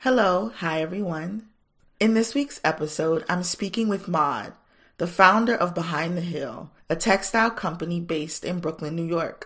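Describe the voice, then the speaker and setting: In a very clean recording with a silent background, a woman speaks at a moderate pace in a normal speaking voice, fairly low in pitch with ordinary pitch variation. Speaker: podcast host. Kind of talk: casual interview.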